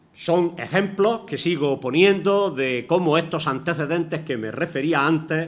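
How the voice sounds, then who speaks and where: A man's normal speaking voice with lively intonation and a fairly high pitch. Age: 60s. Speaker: retired teacher, lecturer. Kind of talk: lecture.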